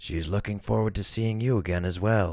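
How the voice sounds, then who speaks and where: Using a put-on character voice, a man speaks fairly low in pitch at a moderate pace with fairly even intonation. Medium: read story. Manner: warm, composed.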